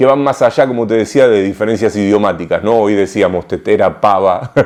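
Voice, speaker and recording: In a Rioplatense accent, a voice with a dark, mellow tone speaks at a moderate pace against a quiet background. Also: man. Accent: Argentine Rioplatense Spanish. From Argentina, Rosario. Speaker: writer and literature scholar. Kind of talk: interview answer. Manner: hesitant, frequent repetitions.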